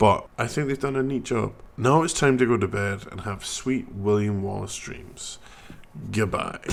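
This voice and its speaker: At a moderate pace, a man's speech comes through noticeable background noise. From Scotland. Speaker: gaming YouTuber. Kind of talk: casual game review monologue. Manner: casual, hesitant with fillers.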